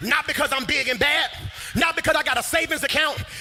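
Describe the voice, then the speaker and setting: A man's energetic tone at a moderate pace, amid noticeable background noise. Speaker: preacher / pastor. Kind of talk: sermon delivered to a live congregation. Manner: energetic, emphatic, call-and-response preaching style.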